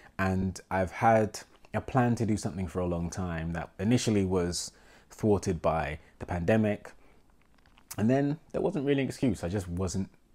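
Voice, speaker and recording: A man with a fairly low pitch and a dark, mellow tone speaks at a moderate pace with ordinary pitch variation and long, frequent pauses. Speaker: film photographer. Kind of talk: vlog monologue.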